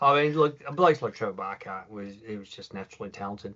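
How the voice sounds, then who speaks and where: A man with an Australian accent, fairly quick in pace, with ordinary pitch variation. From Melbourne, Australia. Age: 60s. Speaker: former professional footballer. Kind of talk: interview.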